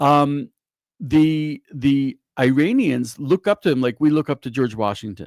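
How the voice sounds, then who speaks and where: The voice is a normal speaking voice with ordinary pitch variation, on a very clean recording with a silent background and a dry, close sound with no echo. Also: man, fairly high pitch for a man, fairly slow pace. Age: 60s. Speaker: rabbi and news writer. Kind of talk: casual discussion.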